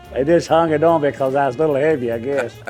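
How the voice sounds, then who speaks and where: Music runs underneath the voice. The delivery is on the quick side. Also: man. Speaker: retired auto assembly plant worker. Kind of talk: interview answer.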